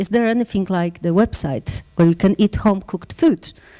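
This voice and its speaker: A woman with a Polish accent is heard with a dry, close sound and no echo. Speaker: startup founder. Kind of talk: pitch talk. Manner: halting.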